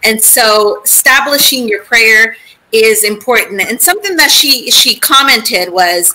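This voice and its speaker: A woman talks at a moderate pace in a raised, projected voice. Her intonation is lively. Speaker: convert outreach worker. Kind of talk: panel Q&A. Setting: video call. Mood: warm, earnest advice. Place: home room.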